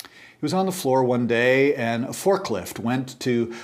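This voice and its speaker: Audible room echo surrounds the voice. A man talks fairly slowly. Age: 60s. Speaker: church teacher. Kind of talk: lecture.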